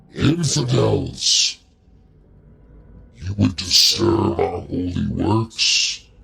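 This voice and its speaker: A man puts on a character voice, loud, booming and growling at a fairly low pitch. His pitch swings very widely as he goes at a very slow pace with long, frequent pauses. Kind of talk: archaic, dramatic. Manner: barking, commanding, angry.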